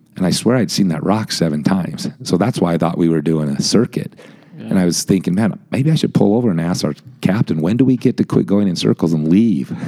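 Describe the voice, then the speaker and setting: Talking at a very fast pace, a man with a very deep, low pitch makes very wide pitch swings over noticeable background noise. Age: 50s. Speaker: amateur endurance cyclist. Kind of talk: casual chat.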